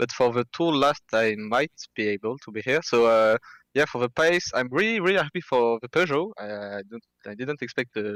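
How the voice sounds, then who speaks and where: A man with a French accent speaks at a medium pitch and a fairly quick pace, with lively intonation and big swings in loudness. The recording is very clean, with a silent background and a dry, close sound with no echo. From France. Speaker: sim racing driver. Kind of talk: post-race interview. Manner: halting, many fillers.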